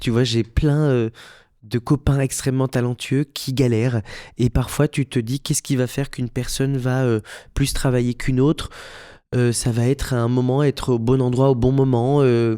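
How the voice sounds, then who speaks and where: A man speaks at a moderate pace in a medium pitch, his dark, mellow tone held in a flat monotone, with a dry, close sound, no echo, a very clean recording and a silent background. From Belgium. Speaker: musical theatre actor and director. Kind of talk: podcast interview. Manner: hesitant, many fillers and repetitions.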